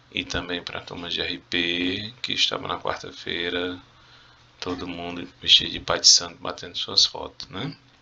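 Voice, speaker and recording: A man's very deep, low voice at a fairly slow pace, fairly even in intonation, with big swings in loudness over noticeable background noise. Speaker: Spanish teacher. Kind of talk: video lesson, exam review. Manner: casual, conversational.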